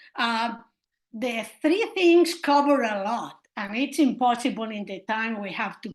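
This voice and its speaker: A woman's high voice with a non-native accent, at a fairly slow pace, with audible room echo. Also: big swings in loudness. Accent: noticeable non-native. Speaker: historian of science, university professor. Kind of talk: seminar lecture. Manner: hesitant, with many fillers.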